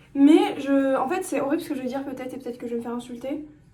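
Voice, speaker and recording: In a room with audible echo, a woman talks very fast at a high pitch with ordinary pitch variation. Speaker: vlogger. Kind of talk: casual monologue vlog. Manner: halting.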